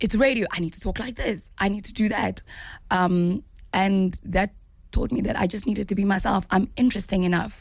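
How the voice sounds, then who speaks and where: A somewhat breathy woman's voice, medium in pitch, with a South African accent, ordinary pitch variation and a moderate pace. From South Africa, KwaZulu-Natal (Pietermaritzburg). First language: Zulu. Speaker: actress. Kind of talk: interview.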